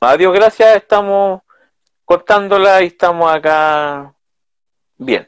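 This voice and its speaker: A man speaks at a very slow pace with long, frequent pauses in a dry, close sound with no echo. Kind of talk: interview.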